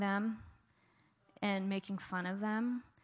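Over a quiet background, a woman talks at a medium pitch. Her delivery is very slow, in a flat monotone. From Richmond. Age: 40s. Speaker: church speaker. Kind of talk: sermon.

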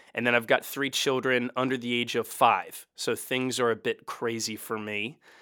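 On a very clean recording with a silent background, a man with a medium pitch speaks in a Mid-Atlantic American accent. His tone is bright and sharp, his intonation monotone and flat, with hardly any pauses. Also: moderate pace. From US, Baltimore. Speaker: pastor. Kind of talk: casual interview.

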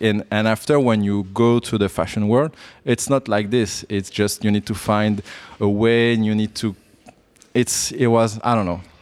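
A man speaks at a moderate pace in a fairly low voice with fairly even intonation. The sound is dry and close, with no echo. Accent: French. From France. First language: French. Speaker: bonsai professional. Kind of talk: interview. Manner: halting.

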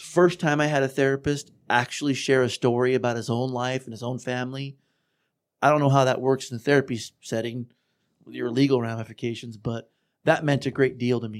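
A man talks at a fairly quick pace in a plain, everyday voice at medium pitch. His loudness swings widely from moment to moment. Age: 40s. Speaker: former client of offender treatment program. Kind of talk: casual chat.

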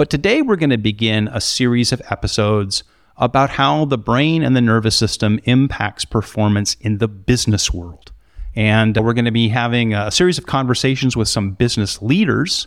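A man in a normal speaking voice talks at a medium pitch and moderate pace with ordinary pitch variation, on a very clean recording with a silent background. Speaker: podcast host. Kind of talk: interview. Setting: studio.

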